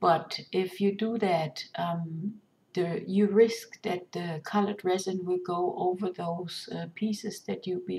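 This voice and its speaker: Her voice is fairly low, dark and mellow, somewhat breathy, with fairly even intonation. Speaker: resin artist. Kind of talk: tutorial. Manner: halting, many fillers.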